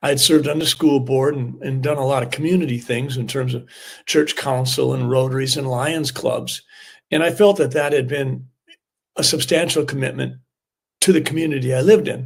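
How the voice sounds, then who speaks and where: A man with an American accent speaks at a fairly quick pace, at a medium pitch with ordinary pitch variation. His voice is somewhat breathy. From US Midwest, southern Minnesota. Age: 60s. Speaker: family doctor and former state senator. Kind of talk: interview.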